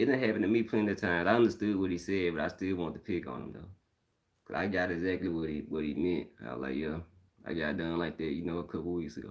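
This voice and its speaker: Very deep and low, a man's voice carries vocal fry and ordinary pitch variation as he talks at a very fast pace. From northern Mississippi. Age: 30s. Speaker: live-stream host. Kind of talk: casual chat.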